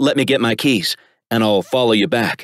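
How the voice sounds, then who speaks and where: A man does a put-on character voice that is raspy, medium in pitch, and very even in loudness at a moderate pace. The recording is very clean with a silent background and a dry, close sound with no echo. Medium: read story. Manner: terse, plainspoken.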